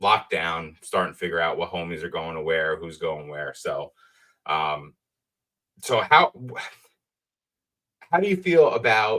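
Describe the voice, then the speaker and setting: A man with a New Jersey accent at a fairly slow pace. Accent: New Jersey accent, self-described as horrible. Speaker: trading card collector. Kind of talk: casual chat.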